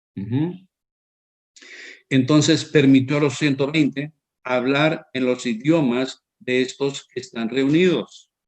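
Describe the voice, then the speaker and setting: A man with a fairly high voice speaks at a very slow pace, with long, frequent pauses. His intonation stays fairly even. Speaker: preacher. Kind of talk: sermon. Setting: online broadcast. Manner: halting, with fillers and restarts.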